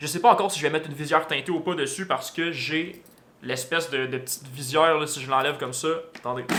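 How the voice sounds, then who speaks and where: Delivered at a very fast pace in a Quebec accent, the voice has a bright, sharp tone and fairly even intonation. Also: man. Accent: Québécois French. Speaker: motorcycle vlogger. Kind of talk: casual vlog talk to camera. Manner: hesitant with many fillers.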